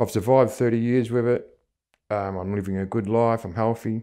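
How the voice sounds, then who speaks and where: This man has an Australian accent and a dark, mellow tone. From Australia, Melbourne area. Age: 60s. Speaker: HIV-positive community member. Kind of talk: personal testimony interview. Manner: hesitant, many fillers.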